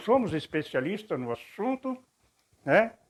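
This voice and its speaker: Against a quiet background, a man talks at a fairly slow pace with very wide swings in pitch. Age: 60s. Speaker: video blogger, former preacher. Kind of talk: spoken reflection monologue.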